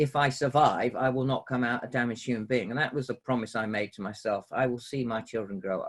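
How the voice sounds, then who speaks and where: Fairly even in intonation, a man talks at a very fast pace with hardly any pauses. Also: medium pitch for a man. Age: 50s. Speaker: former fighter pilot and prisoner of war. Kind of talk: interview.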